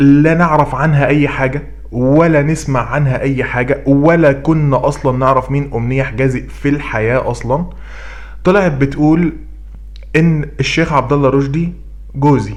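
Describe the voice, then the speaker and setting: Delivered at a moderate pace, the speech comes with audible room echo and noticeable background noise. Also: man. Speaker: YouTube commentator. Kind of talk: commentary vlog. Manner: loud, raised voice; animated.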